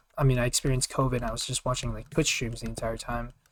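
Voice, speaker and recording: This is a man's voice. It rests at a medium pitch. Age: 20s. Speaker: gaming commentary YouTuber. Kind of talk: casual gameplay commentary Q&A. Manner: casual, filler-heavy and halting.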